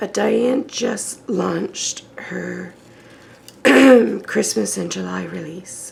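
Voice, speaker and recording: A woman talks very slowly while noticeable background noise plays behind her. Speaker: mixed media art crafter. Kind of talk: crafting tutorial. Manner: casual, chatty.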